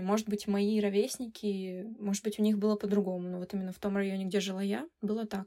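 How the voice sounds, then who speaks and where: A woman speaks at a fairly quick pace in a dark, mellow tone. Her intonation stays fairly even. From Russia, Severodvinsk (Arkhangelsk region). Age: 20s. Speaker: designer and photographer. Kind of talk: casual chat.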